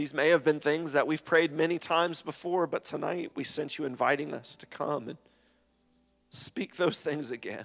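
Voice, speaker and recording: At a moderate pace, a man with an ordinary speaking voice talks in a fairly high pitch with fairly even intonation and big swings in loudness. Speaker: church prayer leader. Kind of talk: fervent congregational prayer. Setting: church. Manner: earnest, heartfelt, pausing and repeating phrases.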